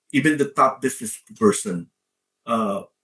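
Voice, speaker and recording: This man has a Filipino accent and a somewhat breathy voice. His pitch swings very widely. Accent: Filipino accent, kept. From Philippines. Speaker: leadership coach and author. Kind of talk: interview.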